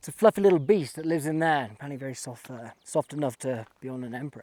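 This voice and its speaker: The speech comes at a very fast pace, with a dry, close sound and no echo. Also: man. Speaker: travel vlogger. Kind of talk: casual vlog narration while walking. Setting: outdoors.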